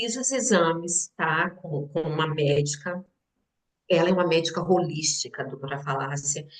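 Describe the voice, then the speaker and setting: A woman speaks at a fairly slow pace. Her pitch sits fairly low. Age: 60s. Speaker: businesswoman and teacher sharing health story. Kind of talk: testimony.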